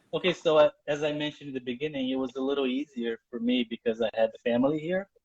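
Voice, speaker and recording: A man with a Portuguese accent talks at a very fast pace, his medium pitch showing ordinary variation. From Brazil. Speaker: journalist. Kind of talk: live interview.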